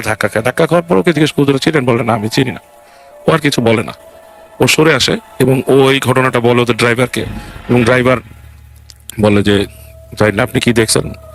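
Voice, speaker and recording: Music plays behind a man whose medium-pitched voice comes across dry and close with no echo, his loudness staying very even. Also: ordinary pitch variation. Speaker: guest storyteller retelling a true ghost story. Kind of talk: casual podcast storytelling, conversational.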